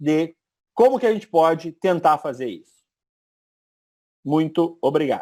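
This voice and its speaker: The background is silent and the recording very clean, letting the lively intonation come through. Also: man. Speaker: radiologist. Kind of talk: lecture. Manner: fast.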